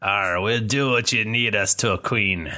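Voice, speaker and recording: A man puts on a character voice at a fairly low pitch, delivered at a moderate pace. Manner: gruff, deferential.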